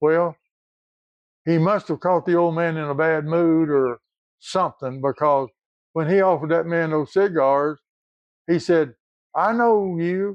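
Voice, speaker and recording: Speech in an Appalachian accent moves at a fairly slow pace, broken by long, frequent pauses. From Appalachia, southeast Kentucky. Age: 80s+. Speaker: retired coal field worker. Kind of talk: storytelling.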